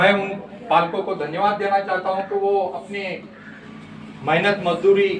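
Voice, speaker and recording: Noticeable background noise and audible room echo surround the recording. A man speaks at a high pitch. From Maharashtra, India. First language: Gondi (speaking Hindi). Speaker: Gond community activist. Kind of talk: interview / speech on language rights. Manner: impassioned.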